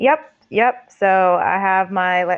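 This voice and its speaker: This woman speaks at a medium pitch with lively intonation. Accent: American. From Staten Island, New York. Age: 20s. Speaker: arts director and art therapist. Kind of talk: podcast interview. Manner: casual, filler-heavy.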